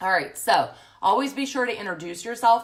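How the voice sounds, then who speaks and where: A woman speaks with lively intonation. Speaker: social media business coach. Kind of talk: facebook live tutorial. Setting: live stream from home. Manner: loud; casual, chatty.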